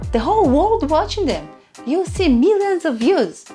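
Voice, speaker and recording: A woman speaks with very wide swings in pitch while music plays in the background. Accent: non-native. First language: not English. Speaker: YouTube content creator. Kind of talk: casual talk to camera.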